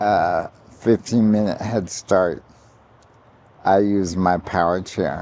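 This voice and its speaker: Speaking at a very slow pace with long, frequent pauses, a man with a very deep, low pitch keeps his loudness very even. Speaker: vlogger living with ALS. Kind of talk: personal vlog. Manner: halting with fillers.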